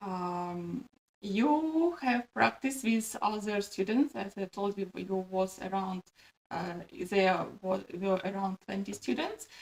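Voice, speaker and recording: The speech comes at a very slow pace with a Russian accent. The intonation is lively. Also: woman, medium pitch for a woman. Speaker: pharmacist and video host. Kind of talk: interview. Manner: halting, many fillers.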